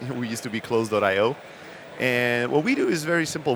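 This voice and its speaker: Against noticeable background noise, a man of medium pitch speaks fairly quickly with ordinary pitch variation. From Germany, Greek-born. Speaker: startup founder. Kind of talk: podcast interview. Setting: podcast stage at a conference.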